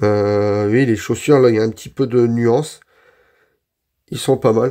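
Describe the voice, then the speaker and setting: This man has a dark, mellow tone at a medium pitch. The recording is very clean, with a silent background. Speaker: figure collector youtuber. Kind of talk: unboxing review. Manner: casual, hesitant with fillers.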